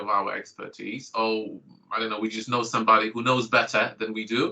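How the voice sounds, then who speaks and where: A man speaks at medium pitch and a moderate pace. His tone is bright and sharp. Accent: Polish. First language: Polish. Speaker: GP and clinical lecturer. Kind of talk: online training presentation.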